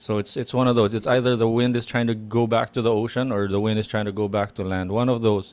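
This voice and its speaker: A man at a medium pitch, talking at a very fast pace in monotone, flat intonation. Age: 40s. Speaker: podcast co-host. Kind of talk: casual chat. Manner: halting, many restarts.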